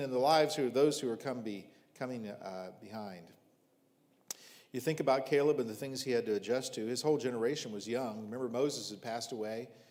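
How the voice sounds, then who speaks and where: A man with an American accent, medium pitch, a fairly quick pace and audible room echo. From US Midwest, rural southern Ohio. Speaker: visiting preacher. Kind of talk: sermon.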